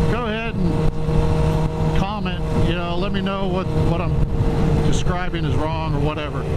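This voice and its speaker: Loud background noise fills the recording. The speaker talks at a moderate pace. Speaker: motorcycle vlogger. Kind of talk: casual vlog chat. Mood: relaxed, joking. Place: motorbike. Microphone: helmet.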